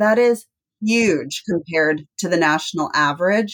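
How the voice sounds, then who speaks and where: A woman with a plain, everyday voice, fairly low in pitch, speaks in an American accent with ordinary pitch variation, the sound dry and close with no echo. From Texas. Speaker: nonprofit chief executive. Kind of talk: interview.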